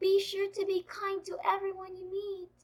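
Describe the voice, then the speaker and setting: A woman does a squeaky put-on character voice at an extremely high pitch, delivered in a monotone, flat intonation. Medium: read story.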